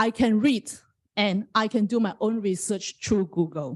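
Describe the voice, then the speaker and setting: The speaker has a non-native accent and a somewhat breathy voice. Delivery is fairly slow, with lively intonation. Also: woman. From Malaysia. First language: not English. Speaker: parent giving public comment. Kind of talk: public comment at school board meeting.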